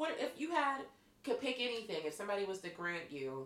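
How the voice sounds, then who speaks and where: Using a Pittsburgh accent, a woman talks at a moderate pace. Her tone is animated, and her pitch swings very widely. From Western Pennsylvania (Pittsburgh). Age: 30s. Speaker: podcast host. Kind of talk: casual chat.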